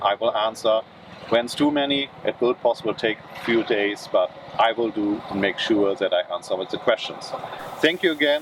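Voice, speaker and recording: With noticeable background noise behind him, a man with a German accent speaks at a moderate pace, at a medium pitch with ordinary pitch variation. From Germany. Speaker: car reviewer. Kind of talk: casual vlog talk to camera.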